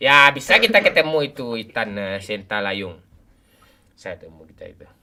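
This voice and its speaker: The speaker is a man. His tone is animated. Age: 40s. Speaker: game live streamer. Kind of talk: casual live stream chat while gaming.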